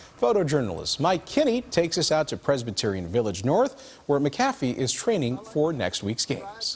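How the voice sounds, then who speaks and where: A man's fairly high, somewhat breathy voice with very wide pitch swings and hardly any pauses. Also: moderate pace. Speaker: TV news anchor. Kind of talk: TV news read.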